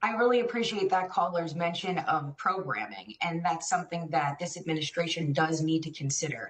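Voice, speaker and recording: A woman with an ordinary speaking voice and an American accent talks at a fairly quick pace and fairly low pitch, with lively intonation and hardly any pauses. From New York City. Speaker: policy expert, former police officer. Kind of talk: TV interview.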